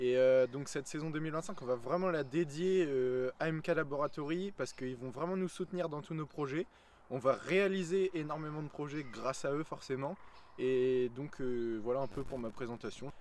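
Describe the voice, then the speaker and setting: The man's voice sits fairly high. He talks at a moderate pace with ordinary pitch variation. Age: young (19). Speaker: fishing YouTuber, student. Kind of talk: casual video introduction. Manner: hesitant, many fillers.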